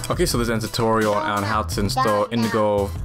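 Loud music plays in the background as a man talks. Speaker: tutorial narrator. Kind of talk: tutorial.

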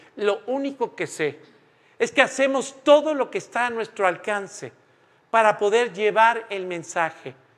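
A man with a high-pitched voice talks at a fairly slow pace with ordinary pitch variation. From Mexico. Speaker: preacher. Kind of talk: sermon. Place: church.

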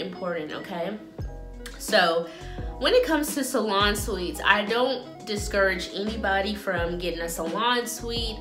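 Speech comes at a fairly slow pace with ordinary pitch variation while clear music plays in the background. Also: woman. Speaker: salon owner vlogger. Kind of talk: casual vlog chat. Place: home room. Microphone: phone near.

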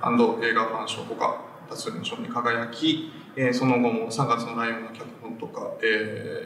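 A man talks at a moderate pace, his loudness swinging a lot. There is audible room echo and light background noise. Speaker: film writer, show host. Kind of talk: interview questions on a film talk show. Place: empty room.

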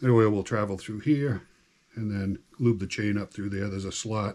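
The speaker is a man. He talks at a moderate pace. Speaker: hobbyist demonstrating chainsaw maintenance. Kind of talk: tutorial. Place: garage. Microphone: camera far.

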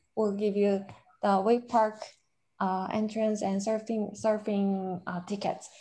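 A woman with a Korean accent talks at a very slow pace. Her voice is fairly high in pitch, with a dark, mellow tone. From South Korea. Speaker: conference moderator. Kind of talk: moderating a conference. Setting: video call. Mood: friendly, calm. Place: office. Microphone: webcam.

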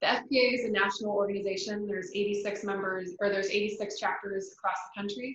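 A woman speaks at a medium pitch in a flat monotone, at a fairly quick pace with hardly any pauses. There is light background noise and audible room echo. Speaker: financial planner. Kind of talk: educational presentation. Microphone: video call.

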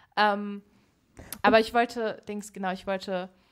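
Speaking at a fairly slow pace, the woman has a fairly high pitch. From Berlin, Germany. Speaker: podcast guest, young activist. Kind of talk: casual interview conversation. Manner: animated, extroverted.

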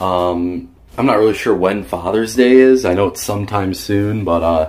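A man with a fairly low pitch talks at a moderate pace with ordinary pitch variation. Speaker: vlogger. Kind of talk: casual vlog chat. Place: home room. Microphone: phone near.

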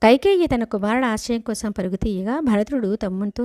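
A woman speaks with a fairly high pitch and a dark, mellow tone, her pitch varying in an ordinary way. The sound is dry and close with no echo, on a very clean recording with a silent background. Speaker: devotional storyteller. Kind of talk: scripture storytelling. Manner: paused phrasing.

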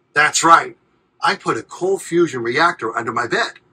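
A man speaks at a fairly slow pace in a fairly high pitch. His tone is bright and sharp with a husky, rough edge.

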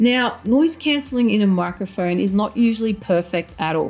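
A woman of medium pitch speaks at a moderate pace with lively intonation and a slightly mellow tone. Faint music plays in the background.

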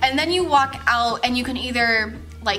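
The speaker is a woman. There is light background noise. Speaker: vlogger telling a work story. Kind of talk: casual vlog chat. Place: home room. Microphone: camera far.

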